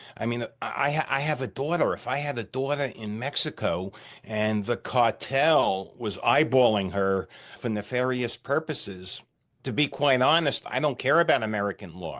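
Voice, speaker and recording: A man with a plain, everyday voice talks at a moderate pace, medium in pitch with ordinary pitch variation. The background is quiet. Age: 60s. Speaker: retired CEO and ordained minister. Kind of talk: podcast interview.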